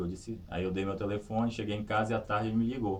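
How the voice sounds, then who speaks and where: Fairly low male voice, fairly even in intonation, with audible room echo. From Brazil, Pará (Vigia). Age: 30s. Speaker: sitting volleyball athlete and teacher. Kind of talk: interview testimony. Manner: halting, with repetitions.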